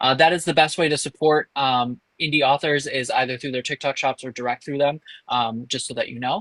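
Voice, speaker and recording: Speaking fairly quickly in an unremarkable speaking voice, a man with an American accent keeps a fairly high pitch and fairly even intonation. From Illinois, US Midwest. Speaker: author. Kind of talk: podcast interview.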